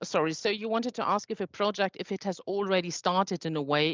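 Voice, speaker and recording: A woman with a non-native accent talks at a fairly quick pace with ordinary pitch variation. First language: not English. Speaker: foundation staff presenting funding program. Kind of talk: online info session Q&A. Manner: halting.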